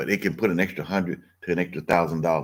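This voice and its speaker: A man's very deep, low voice in an animated tone at a fairly quick pace, on a very clean recording with a silent background. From US South, Mississippi. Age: 60s. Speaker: online business coach. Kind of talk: livestream sales pitch. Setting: live stream. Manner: animated, conversational.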